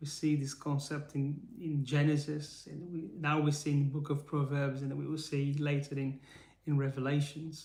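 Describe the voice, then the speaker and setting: In a Brazilian accent, a man speaks at a fairly slow pace with a fairly high pitch and a somewhat breathy voice. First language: Portuguese. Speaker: faith-based motivational speaker. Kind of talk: live stream teaching. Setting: live stream. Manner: halting.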